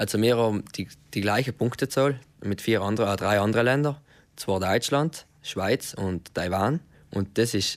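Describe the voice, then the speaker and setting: This man has an unremarkable speaking voice at a medium pitch, talking at a moderate pace with fairly even intonation on a very clean recording with a silent background. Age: 20s. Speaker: car mechatronics technician. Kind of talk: radio interview.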